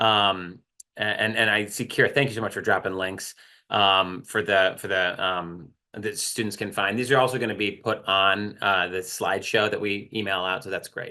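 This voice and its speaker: Loud and bright with a sharp tone, a man speaks at a moderate pace in a fairly low pitch with fairly even intonation against a quiet background. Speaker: writing center staff, workshop presenter. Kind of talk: online workshop presentation. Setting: video call.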